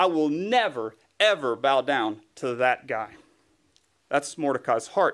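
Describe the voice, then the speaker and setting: A man with a Southern US accent talks at a fairly slow pace, his pitch swinging very widely. The recording is very clean, with a silent background. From US South, East Tennessee. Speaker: guest preacher, writer. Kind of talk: sermon.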